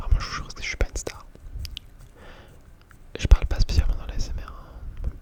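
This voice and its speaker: A man whispers over noticeable background noise. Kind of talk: ASMR casual rambling talk. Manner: whispered, close-up.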